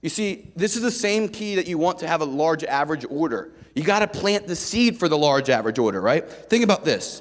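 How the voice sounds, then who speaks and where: Loud and animated, a man speaks with lively intonation at a high pitch. His pace is moderate. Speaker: sales rep speaker at conference. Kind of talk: motivational sales talk to audience.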